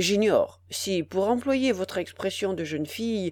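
The delivery is a natural reading voice, and the intonation is lively.

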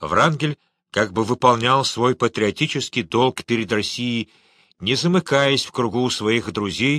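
The background stays quiet behind a natural reading voice.

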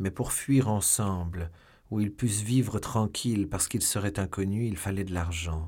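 In plain reading aloud, the pitch shows ordinary variation.

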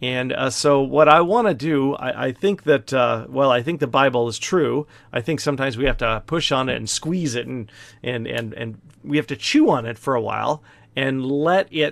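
It is an ordinary speaking voice from a man at medium pitch, moving at a moderate pace with ordinary pitch variation in a very clean recording with a silent background. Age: 50s. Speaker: pastor. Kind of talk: Bible study lecture. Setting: office, livestream video. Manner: casual, with many fillers.

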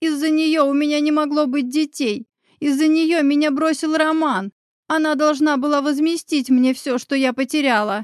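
In a put-on character voice, a woman sounds shrill and strained at a high pitch and a moderate pace, in a very clean recording with a silent background and a dry, close sound with no echo. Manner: shrieking, furious.

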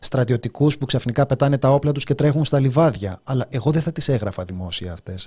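This man has a medium pitch and lively intonation. His voice is somewhat breathy. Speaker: radio host. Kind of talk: casual chat.

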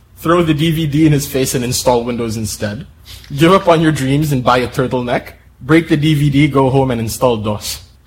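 A natural voice reading aloud, its pitch varying in an ordinary way

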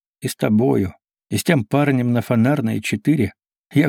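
Ordinary pitch variation in plain reading aloud, with a quiet background.

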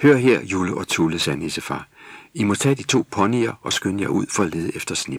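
Lively intonation marks an unforced reading voice.

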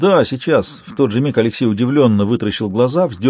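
Lively intonation comes through in a natural reading voice.

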